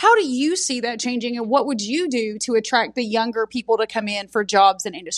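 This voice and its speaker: Using lively intonation, a woman with an East Tennessee accent speaks at a fairly high pitch. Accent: East Tennessee Southern US. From Knoxville, Tennessee. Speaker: podcast host. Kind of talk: casual interview. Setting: outdoor backyard, recorded on iPad.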